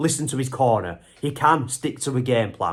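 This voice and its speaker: A man talks in an animated tone on a very clean recording with a silent background. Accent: English. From England. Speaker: MMA YouTuber. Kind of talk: casual analysis monologue. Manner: conversational, animated.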